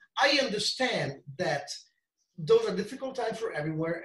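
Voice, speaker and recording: At a moderate pace, a man talks with an Italian accent. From Italy, near Venice. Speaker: strength coach. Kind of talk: interview.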